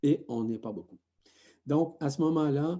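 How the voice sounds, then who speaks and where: Dark, mellow male speech with fairly even intonation. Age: 60s. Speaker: spiritual teacher. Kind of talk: spiritual talk.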